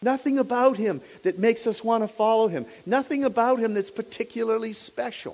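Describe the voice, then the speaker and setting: A man talks at a fairly quick pace in an extremely high pitch, with ordinary pitch variation. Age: old. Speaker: lay preacher, former lawyer. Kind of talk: sermon. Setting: church pulpit.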